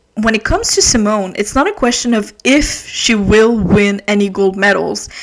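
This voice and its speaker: Here is a woman in a normal speaking voice. She speaks at a fairly slow pace and a fairly high pitch, with ordinary pitch variation. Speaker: podcast host. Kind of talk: casual podcast talk.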